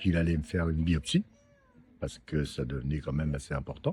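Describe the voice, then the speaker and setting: A man talks with a dark, mellow tone. The background is quiet. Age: 70s. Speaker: prostate cancer survivor. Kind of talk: interview testimony. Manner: hesitant, many fillers.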